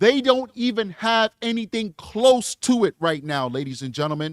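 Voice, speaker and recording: Recorded very cleanly against a silent background, with a dry, close sound and no echo, a man with a high pitch talks at a moderate pace through very wide pitch swings. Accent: New York. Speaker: legal commentator. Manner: emphatic, repetitive.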